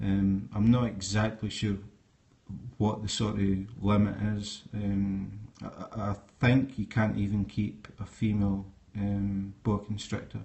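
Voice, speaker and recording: A man with a Scottish accent speaks at a fairly slow pace in a fairly low, somewhat breathy voice with monotone, flat intonation. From Scotland. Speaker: snake keeper. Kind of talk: live stream talk. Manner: hesitant, many fillers.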